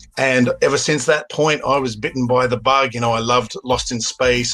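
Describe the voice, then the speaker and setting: Fairly quick speech in an Australian accent, with fairly even intonation and noticeable background noise. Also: man. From Australia, Sydney. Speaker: filmmaker. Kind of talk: interview.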